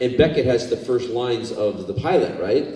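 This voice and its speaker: A man at a medium pitch talks at a fairly quick pace, with noticeable background noise and audible room echo. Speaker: actor. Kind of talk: anecdotal storytelling on a convention panel. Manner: animated, acts out dialogue.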